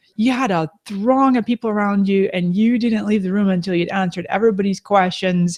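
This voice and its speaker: Her tone animated and somewhat breathy, a woman at medium pitch talks at a fairly quick pace with hardly any pauses. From Scotland. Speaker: social media business host. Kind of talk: live video chat interview. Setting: online video hangout.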